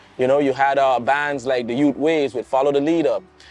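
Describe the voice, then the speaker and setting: Fairly high pitch and fairly even intonation in a man's voice. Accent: St Maarten. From St Maarten, Caribbean. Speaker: soca singer. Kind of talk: interview.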